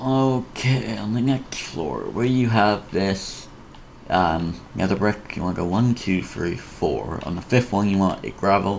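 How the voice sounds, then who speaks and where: A man with a fairly low pitch and ordinary pitch variation talks at a fairly slow pace. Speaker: Minecraft tutorial youtuber. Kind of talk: tutorial. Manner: halting.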